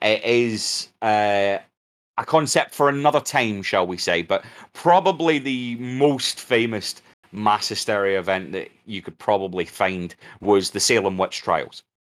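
A man's normal speaking voice at medium pitch, fairly slow with lively intonation, on a very clean recording with a silent background. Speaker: podcast host. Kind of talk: casual storytelling banter.

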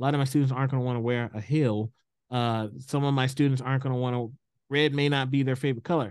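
Against a quiet background, a man with an American accent talks very fast, keeping his intonation fairly even and his loudness very even. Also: medium pitch for a man. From US South, Houston, Texas. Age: 40s. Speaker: equity consultant, former school principal. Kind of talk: interview. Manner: repeats words, hesitant fillers.

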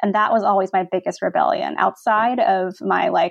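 In a normal speaking voice, a woman with an American accent talks at a moderate pace, her fairly high pitch moving with lively intonation. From Virginia, US (Virginia Beach). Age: 30s. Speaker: design blogger and publisher. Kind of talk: interview.

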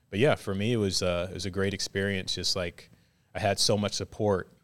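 A man with an American accent has an ordinary speaking voice and fairly low pitch, talking at a moderate pace. The recording is very clean, with a silent background. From Virginia Beach, US. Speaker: volleyball coach. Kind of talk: casual interview.

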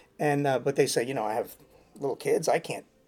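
The man's intonation is lively. He talks very fast. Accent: New York. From New York City (Queens). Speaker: handyman. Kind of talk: casual interview. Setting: venue interview.

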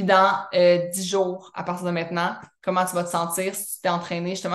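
A woman's medium-pitched voice moves along at a fairly quick pace. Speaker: wellness coach and podcast host. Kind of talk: mentoring session answering member questions. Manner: casual, filler-heavy speech.

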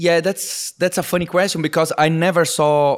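A man speaks at a moderate pace. He talks with a Portuguese accent. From Brazil. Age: 40s. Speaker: tech entrepreneur. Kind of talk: interview conversation. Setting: video call.

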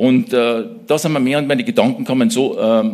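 A man with a fairly high voice speaks at a moderate pace, his pitch swinging very widely. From Austria, Salzburg region (Mittersill). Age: 60s. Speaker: church small-group leader, business manager. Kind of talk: church interview, personal testimony.

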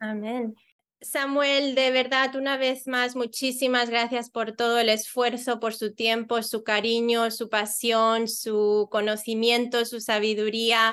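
In a quiet background, a woman with a fairly high voice speaks very slowly in a monotone, flat way. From Spain, Mallorca. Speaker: podcast host. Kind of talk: interview conversation.

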